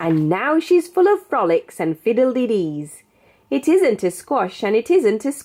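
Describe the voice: The speech is plain reading aloud.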